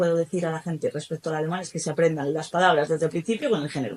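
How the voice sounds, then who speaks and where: A woman's fairly low, fairly even-toned voice. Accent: Spanish. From Spain. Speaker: German teacher. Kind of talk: podcast interview.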